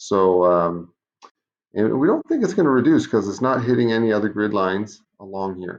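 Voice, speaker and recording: A plain, everyday voice from a man, fairly low in pitch, at a moderate pace with ordinary pitch variation. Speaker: math teacher. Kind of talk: online class lesson.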